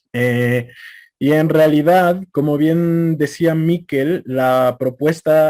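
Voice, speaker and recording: A man speaks with a central Mexican accent. His pitch varies in an ordinary way. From Mexico City. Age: young. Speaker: conference speaker. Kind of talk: lecture.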